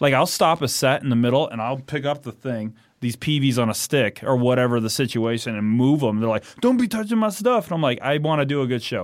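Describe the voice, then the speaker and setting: In a very clean recording with a silent background, a man with a normal speaking voice talks fairly quickly at a medium pitch, his intonation lively. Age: 30s. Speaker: punk rock singer and guitarist. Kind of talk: casual chat. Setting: studio.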